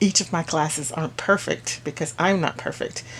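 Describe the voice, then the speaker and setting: Her voice is somewhat breathy, and this woman's pitch sits fairly low. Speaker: crafting YouTuber and Zumba instructor. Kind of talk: casual chat. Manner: fast.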